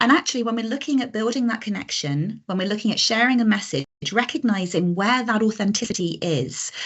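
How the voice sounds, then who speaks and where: A woman's fairly high voice with vocal fry, lively intonation and a fairly quick pace, with hardly any pauses. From Britain. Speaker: coaching and communication trainer. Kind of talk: online masterclass presentation. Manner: naturally fast and animated.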